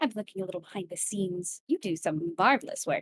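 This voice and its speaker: A female-sounding put-on character voice at medium pitch, delivered at a very fast pace. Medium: actual play. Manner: cheerful, coy, theatrical.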